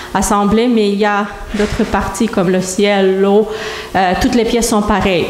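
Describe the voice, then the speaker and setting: Heard through audible room echo and noticeable background noise, a woman speaks with a monotone, flat intonation. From Moldova. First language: Romanian (speaking French). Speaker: church member giving testimony. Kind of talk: testimony. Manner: halting.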